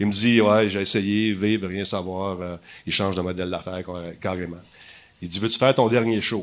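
A man speaks in a flat monotone, leaving long, frequent pauses. Audible room echo surrounds his voice. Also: fairly low pitch for a man, moderate pace. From Quebec, Montreal (LaSalle). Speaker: TV host and gaming personality. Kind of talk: casual chat. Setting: stage with audience.

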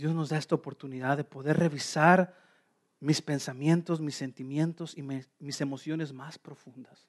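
Over a quiet background, a man with a fairly high-pitched voice speaks at a moderate pace in a flat monotone, his loudness swinging widely, with a dry, close sound and no echo. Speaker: pastor. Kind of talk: sermon.

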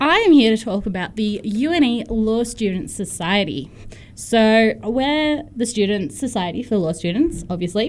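With an ordinary speaking voice, a woman talks at a fairly slow pace in a fairly high pitch, her intonation lively. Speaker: student society volunteer. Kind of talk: casual on-air chat, jokey and flustered. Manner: laughing, sheepish, playful banter.

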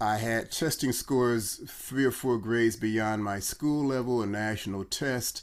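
A man with an American accent talks at a fairly slow pace in an ordinary speaking voice, with fairly even intonation and hardly any pauses. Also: medium pitch for a man. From Chicago. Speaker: brand consultant, former doctor. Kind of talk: casual interview.

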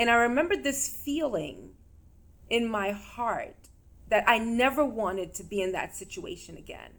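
This woman has a normal speaking voice, fairly high in pitch, with an American accent. Her intonation is lively, her loudness swings widely, and her pace is moderate. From New York. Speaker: physician and mental health segment host. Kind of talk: interview.

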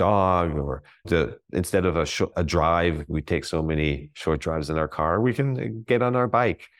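Over a quiet background, a man with vocal fry speaks in a very deep, low voice at a moderate pace with lively intonation. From grew up abroad as military child. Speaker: mindfulness coach and entrepreneur. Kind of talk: interview.

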